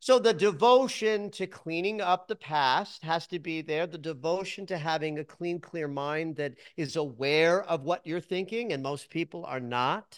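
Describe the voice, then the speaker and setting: A man's high-pitched voice with ordinary pitch variation on a very clean recording with a silent background. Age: 60s. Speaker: psychologist and dream interpreter. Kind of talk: interview.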